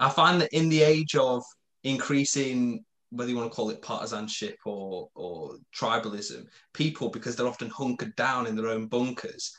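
A man with a British accent and very wide pitch swings. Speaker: podcast co-host. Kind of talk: interview. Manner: halting.

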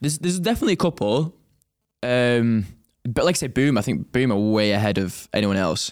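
At a fairly quick pace, a man talks with an English accent in a very clean recording with a silent background. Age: 20s. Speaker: trainee pilot, podcast co-host. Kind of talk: casual chat.

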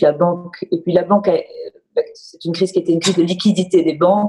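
At a fairly quick pace, a woman keeps her intonation fairly even. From Marseille, southern France. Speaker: bank executive and former business lawyer. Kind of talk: interview. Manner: halting, with frequent repetitions.

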